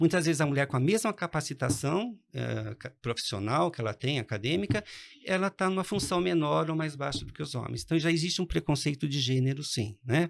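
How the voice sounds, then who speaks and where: Heard in a very clean recording over a silent background, a man with a plain, everyday voice talks at a fairly quick pace, his fairly high pitch carrying lively intonation. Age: 60s. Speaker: economics professor. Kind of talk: interview.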